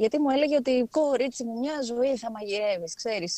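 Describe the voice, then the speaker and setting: Her intonation is lively, and her pace is moderate. The woman's recording sounds dry and close, without any echo. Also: very clean recording, silent background. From Thrace, Greece (Alexandroupoli). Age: 30s. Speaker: journalist. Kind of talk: casual interview. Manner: hesitant, many fillers.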